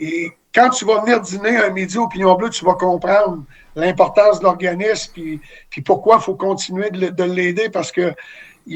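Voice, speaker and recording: Speaking at a moderate pace, a man with a high voice keeps his intonation fairly even while his loudness swings widely. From Quebec City, Canada. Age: 60s. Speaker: former hockey player and charity volunteer. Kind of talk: interview.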